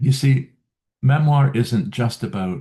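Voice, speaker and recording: Somewhat breathy and dark, mellow in tone, a man talks at a fairly slow pace with very wide pitch swings. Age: 70s. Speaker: memoir writing coach. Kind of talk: video talk series. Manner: halting, with fillers.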